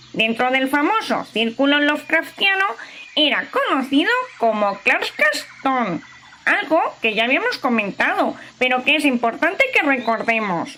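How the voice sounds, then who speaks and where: A woman puts on a character voice at a high pitch with very wide pitch swings. Her loudness stays very even and her pace is moderate. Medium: audio drama. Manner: lecturing, confident.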